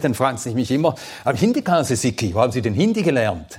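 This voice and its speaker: At a very fast pace, a man with a Swedish accent talks at a medium pitch. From Sweden, then Switzerland from age ten. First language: Swedish (speaking German). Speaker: Bible teacher. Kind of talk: lecture.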